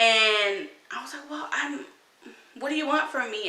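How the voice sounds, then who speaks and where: A woman with an American accent speaks at a fairly slow pace and a fairly high pitch, with audible room echo and noticeable background noise. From United States, Mexican American. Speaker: vlogger. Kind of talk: casual vlog monologue.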